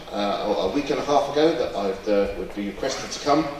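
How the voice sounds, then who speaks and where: A man talks at a moderate pace with ordinary pitch variation, with audible room echo and noticeable background noise. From London, England. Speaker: certification engineer, invited speaker. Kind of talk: conference presentation. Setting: stage with audience, walk-around mic. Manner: hesitant, many fillers.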